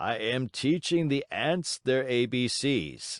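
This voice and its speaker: Over a quiet background with a dry, close sound and no echo, a man puts on a raspy character voice at a medium pitch, speaking at a fairly slow pace with ordinary pitch variation. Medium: read story. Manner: surly, quarrelsome.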